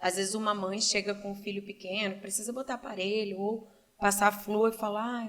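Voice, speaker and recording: A woman's medium-pitched voice stays monotone and flat while she talks at a moderate tempo. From Brazil, Cascavel, Paraná. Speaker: entrepreneur and doctoral student. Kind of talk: casual interview.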